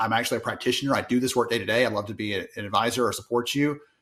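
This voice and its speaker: A man with a strong Southern US accent at medium pitch, very fast and fairly even in intonation, on a very clean recording with a silent background. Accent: thick Southern US. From US South. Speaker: industry analyst. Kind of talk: podcast interview.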